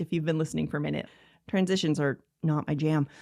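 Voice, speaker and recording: Very deep, low pitch from a woman, very clean recording, silent background. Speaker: podcast host and ADHD coach. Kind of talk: solo podcast monologue. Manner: fast.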